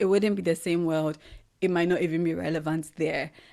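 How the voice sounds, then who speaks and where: In a Ghanaian accent, a woman speaks at a fairly low pitch with fairly even intonation. The recording is very clean, with a silent background. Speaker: podcast host. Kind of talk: solo reflective monologue.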